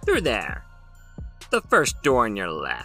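Over clear background music, a man cackles in a put-on character voice at a fairly slow pace. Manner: cackling, amused.

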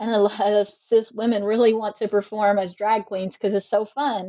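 With a normal speaking voice, a woman speaks at a medium pitch and fairly even intonation. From US South, South Carolina. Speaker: sociology professor. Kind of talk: interview.

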